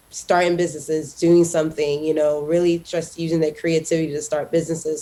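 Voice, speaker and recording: A woman with a very deep, low pitch and a dark, mellow tone talks at a very fast pace. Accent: American. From Haiti. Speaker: tech entrepreneur, summit founder. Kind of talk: interview.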